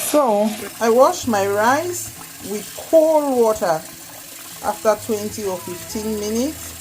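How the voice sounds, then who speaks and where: A woman's fairly high voice with lively intonation at a very slow pace, music playing in the background. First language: Cameroonian native language. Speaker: home cook. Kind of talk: cooking tutorial. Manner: casual, chatty.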